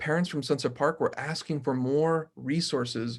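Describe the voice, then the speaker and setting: On a very clean recording with a silent background, a man with a Spanish accent speaks at a moderate pace with ordinary pitch variation. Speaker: mayoral candidate. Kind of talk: panel forum answer. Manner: halting.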